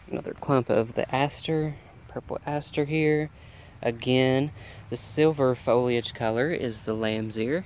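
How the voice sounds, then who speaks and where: A man with an unremarkable speaking voice talks fairly slowly at a medium pitch, with ordinary pitch variation. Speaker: home gardener vlogger. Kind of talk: garden tour walkthrough. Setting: outdoors by a road.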